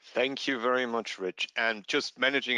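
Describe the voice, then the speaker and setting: Heard dry and close with no echo, a man speaks at a medium pitch and a moderate pace with a bright, sharp tone. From Germany. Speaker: product manager. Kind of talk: webinar presentation. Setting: online webinar. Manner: hesitant, many fillers.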